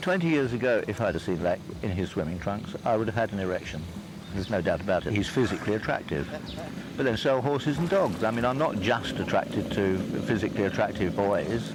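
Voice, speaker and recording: Over noticeable background noise, a man with an English accent talks at a very fast pace. His pitch is fairly low and his loudness very even. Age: 60s. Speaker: documentary interviewee. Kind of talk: documentary interview. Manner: hesitant.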